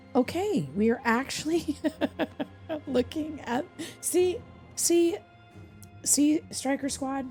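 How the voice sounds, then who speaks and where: A woman's high-pitched voice at a very slow pace, broken by long, frequent pauses, with music in the background. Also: ordinary pitch variation. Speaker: content creator, streamer, voice actor. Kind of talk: soft ASMR gaming commentary. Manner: soft-spoken, relaxed, humorous.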